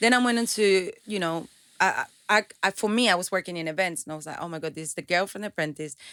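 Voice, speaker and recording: A woman in a Venezuelan accent, bright and sharp in tone at medium pitch, at a very fast pace with ordinary pitch variation and big swings in loudness. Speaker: entrepreneur and motivational speaker. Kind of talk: interview. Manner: halting, many repetitions.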